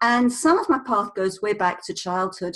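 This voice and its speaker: A woman with a British accent speaks at a fairly quick pace with very wide pitch swings. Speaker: communication coach, former speech therapist. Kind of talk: interview.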